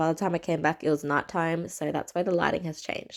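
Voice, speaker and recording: A woman with an Australian accent at a fairly quick pace, ordinary pitch variation, very clean recording with a silent background. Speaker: cooking vlogger. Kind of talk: voiceover cooking tutorial. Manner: casual.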